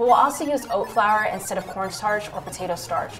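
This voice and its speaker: A woman talking at a fairly quick pace over clear background music. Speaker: military chef instructor. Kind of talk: tutorial. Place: kitchen.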